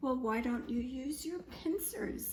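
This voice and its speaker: A woman speaks in a put-on character voice with a high pitch at a fairly slow pace. Clear background noise can be heard. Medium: read story.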